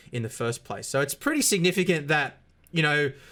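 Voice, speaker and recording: This man talks at a fairly quick pace in a bright, sharp tone. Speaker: sim racing YouTuber. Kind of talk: unscripted talk to camera. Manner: fast at times; halting, many fillers and repeats.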